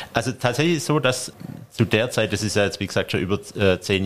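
Moderate pace and medium pitch in a man's plain, everyday voice. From Stuttgart, Germany. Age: 40s. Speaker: sports referee and tax advisor. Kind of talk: interview.

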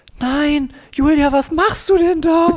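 A put-on character voice, high in pitch, moves at a fairly slow pace. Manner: shocked, scolding.

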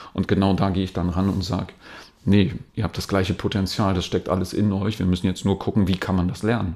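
A man's very deep, low voice, monotone and flat, at a very fast pace. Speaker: dance trainer. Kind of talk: interview. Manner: calm.

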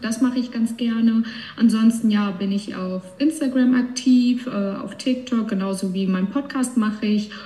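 Over noticeable background noise, a woman speaks fairly slowly at a fairly high pitch with fairly even intonation. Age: 20s. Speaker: cancer patient, bank clerk. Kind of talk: casual chat.

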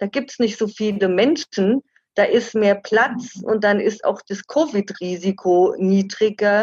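In a dry, close sound with no echo, a woman talks very slowly at a fairly high pitch, her voice somewhat breathy with ordinary pitch variation. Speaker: travel author. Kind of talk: interview.

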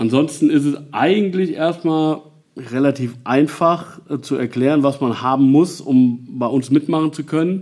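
Fairly high in pitch, a man talks at a fairly slow pace with ordinary pitch variation. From Nassau, Rhineland-Palatinate, Germany. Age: 40s. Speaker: volunteer fire chief. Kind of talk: interview. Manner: hesitant, many filler sounds.

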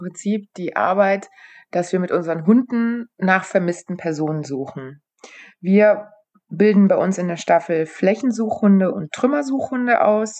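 A woman's normal speaking voice, fairly slow, with lively intonation. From western Germany, Aachen area. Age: 30s. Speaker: rescue dog handler and trainer. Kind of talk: interview.

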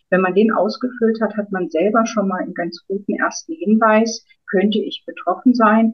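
A woman speaks in a somewhat breathy voice. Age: 50s. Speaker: author and former midwife. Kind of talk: interview.

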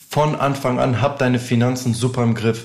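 A man talks at a moderate pace with medium pitch and fairly even intonation, somewhat breathy. Audible room echo surrounds his voice. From northern Germany, near Hannover. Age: 20s. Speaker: music artist manager. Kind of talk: casual interview.

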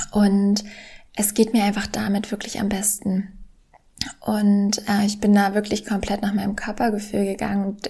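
A woman speaks in a monotone, flat way, somewhat breathy, at medium pitch and a moderate pace. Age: 20s. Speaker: podcast host and professional tennis player. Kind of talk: solo podcast monologue. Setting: home living room.

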